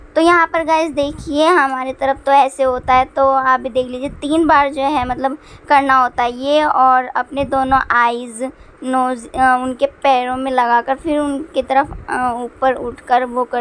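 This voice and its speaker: A woman's high-pitched voice, fairly slow and with fairly even intonation. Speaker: family vlogger. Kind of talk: casual vlog chat. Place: home room. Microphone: phone near.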